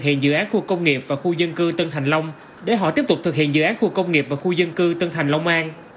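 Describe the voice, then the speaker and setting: A man speaks at a very fast pace. His voice is high-pitched. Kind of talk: news reading. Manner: formal.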